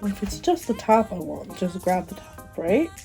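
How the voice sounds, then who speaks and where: Background music plays beneath a woman's voice. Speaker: beauty vlogger. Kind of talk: casual talk to camera.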